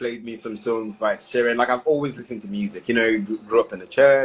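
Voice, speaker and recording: A man speaks with a British accent. His voice sits at a medium pitch. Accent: posh British-sounding English from school. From Nigeria, Lagos. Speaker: singer-songwriter. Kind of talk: casual interview chat. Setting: live stream.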